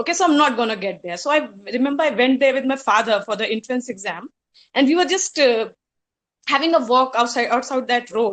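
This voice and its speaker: A woman talks in an Indian accent with a high pitch and lively intonation. Her pace is fairly quick. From India, Hardoi, Uttar Pradesh. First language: Hindi. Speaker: college alumna speaker. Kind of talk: reminiscing speech.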